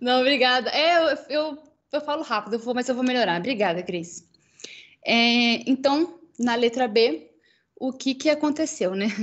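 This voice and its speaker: Her voice is high in pitch. This woman's intonation is lively. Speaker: researcher presenting at journal club. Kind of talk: academic presentation. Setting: online livestream. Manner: fast.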